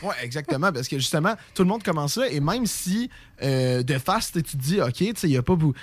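At a fairly quick pace, a man talks in a fairly high pitch with very wide pitch swings. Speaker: radio host. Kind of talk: casual chat. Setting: studio.

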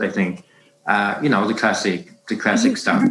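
With lively intonation, a man speaks in a German accent. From Germany, Hamburg. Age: 40s. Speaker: bread baking instructor. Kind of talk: casual interview. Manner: halting.

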